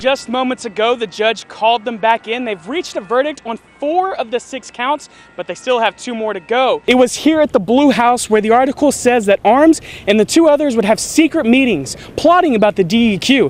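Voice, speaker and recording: A man's extremely high voice at a fairly quick pace, with ordinary pitch variation and noticeable background noise. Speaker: TV news reporter and anchor. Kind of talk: TV news report.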